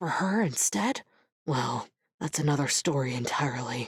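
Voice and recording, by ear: A woman's put-on character voice, extremely low in pitch with a husky, rough edge, lively intonation and a moderate pace.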